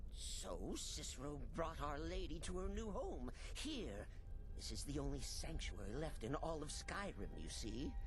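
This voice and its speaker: Amid loud background noise, a put-on character voice moves at a moderate pace. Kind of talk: comic overacting. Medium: game stream. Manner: sing-song, giggly, repetitive; refers to himself in the third person.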